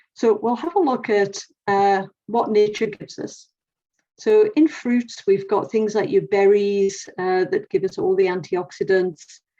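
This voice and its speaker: Speaking with an English accent, a woman uses a medium pitch and a dark, mellow tone at a fairly slow pace. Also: lively intonation. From England. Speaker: nutritionist. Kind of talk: presentation talk.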